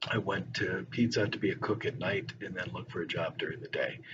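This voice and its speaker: Amid noticeable background noise, a man with an American accent speaks at a fairly quick pace. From northern Virginia, US. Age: 60s. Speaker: teacher. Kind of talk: personal introduction monologue. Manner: casual with filler words.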